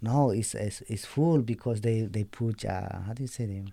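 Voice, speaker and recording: Speaking with a Spanish accent, a man keeps a medium pitch, ordinary pitch variation and a moderate pace. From Bolivia, Andes highlands. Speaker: program graduate sharing his life story. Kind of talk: testimony. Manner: halting, searching for words.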